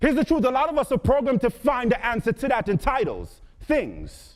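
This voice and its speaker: Delivered at a moderate pace in an Antiguan accent, the speech has an animated tone. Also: man. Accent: Caribbean, Antiguan. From Antigua and Barbuda. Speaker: motivational speaker. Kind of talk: motivational speech. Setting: stage with audience.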